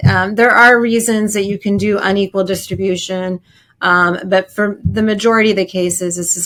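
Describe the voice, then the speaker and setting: At a moderate pace, a woman talks with medium pitch and fairly even intonation. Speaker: family law attorney. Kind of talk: interview, legal explanation. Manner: halting, many fillers and repeats.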